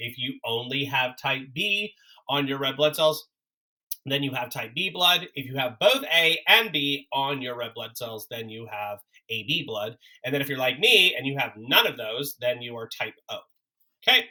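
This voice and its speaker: With a plain, everyday voice, a man speaks at a moderate pace and fairly high pitch, showing ordinary pitch variation and big swings in loudness. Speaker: college biology instructor. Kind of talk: recorded lecture. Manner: casual with many fillers.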